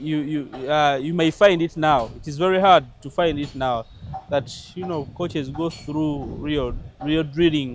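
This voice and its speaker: Music plays behind a man speaking at a fairly slow pace with a fairly high pitch. His intonation is fairly even, but his loudness swings widely. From Uganda. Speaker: football coach. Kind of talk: interview.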